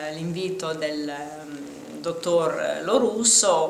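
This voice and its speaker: A woman speaks with ordinary pitch variation. There is light background noise and audible room echo. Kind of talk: interview answer. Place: hall.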